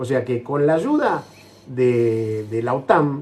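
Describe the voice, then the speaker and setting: This man's voice has a dark, mellow tone. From Argentina. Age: 60s. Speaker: war veteran. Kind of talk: interview.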